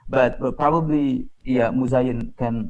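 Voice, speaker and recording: At a fairly slow pace, a man speaks at medium pitch with an Indonesian accent. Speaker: conference moderator. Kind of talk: moderating academic panel.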